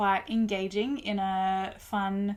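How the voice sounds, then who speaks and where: A woman speaks at a medium pitch. She has an Australian accent. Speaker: music reviewer YouTuber. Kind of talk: casual video review.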